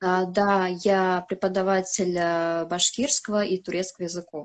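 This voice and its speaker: Against a quiet background, the speech moves fairly slowly with monotone, flat intonation. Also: woman, medium pitch for a woman. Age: 20s. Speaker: flight attendant. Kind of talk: interview. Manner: hesitant, many fillers.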